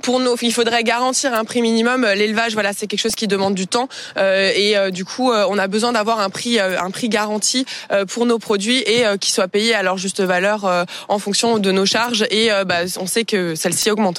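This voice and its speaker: A woman with a fairly high pitch talks at a moderate pace. Her intonation stays fairly even over noticeable background noise. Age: young. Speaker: cattle farmer. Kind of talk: news interview. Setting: on a farm.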